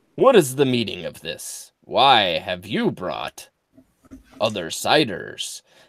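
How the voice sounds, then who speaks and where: The speaker uses a put-on character voice at a fairly slow pace. Loudness swings widely throughout. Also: man, medium pitch for a man. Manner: slow, drawled, imitating old western films.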